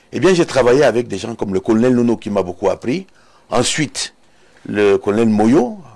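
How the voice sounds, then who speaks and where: A man speaks in a plain, everyday voice, pitched in the middle range, with lively intonation. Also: moderate pace. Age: 60s. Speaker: retired air force colonel and security analyst. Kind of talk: TV interview. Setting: TV studio.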